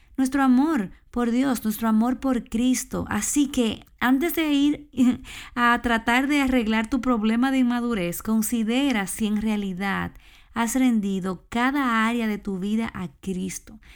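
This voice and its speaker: In an ordinary speaking voice, a woman with a fairly high pitch and ordinary pitch variation talks at a fairly slow pace on a very clean recording with a silent background. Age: 30s. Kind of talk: devotional talk. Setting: small room at home.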